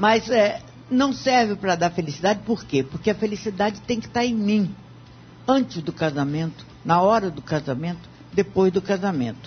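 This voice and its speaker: Medium-pitched female speech at a moderate pace, with very wide pitch swings over noticeable background noise. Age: 70s. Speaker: radio debate panelist. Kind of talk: radio debate.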